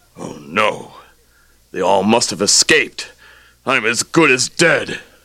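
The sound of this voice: Putting on a character voice, a man talks at a slow pace with a fairly low pitch, big pitch swings, vocal fry and a bright, sharp tone.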